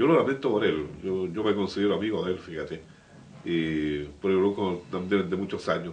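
A man's very deep, low voice with ordinary pitch variation, at a moderate pace over light background noise. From Biobío, Chile. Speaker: local radio/TV program host; local radio, TV program host. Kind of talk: interview talk show. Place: studio.

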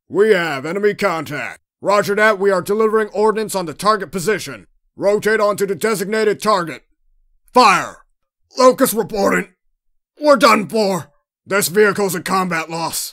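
This put-on character voice sits at a middle pitch and moves at a moderate pace. Long pauses come often. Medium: voice reel.

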